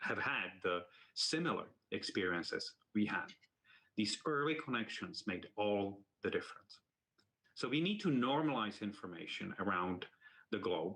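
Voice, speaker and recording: A man with a non-native accent, a bright, sharp tone, very wide pitch swings, very even loudness, and long, frequent pauses. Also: medium pitch for a man, moderate pace. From outside the United States. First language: not English. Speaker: university medical leader. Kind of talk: symposium talk. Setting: virtual symposium.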